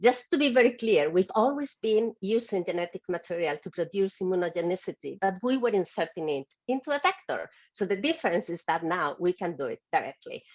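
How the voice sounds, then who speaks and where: A woman's medium-pitched voice, fairly quick with hardly any pauses, lively intonation, and a dry, close sound with no echo. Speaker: global health expert panelist. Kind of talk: webinar presentation with slides. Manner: fast.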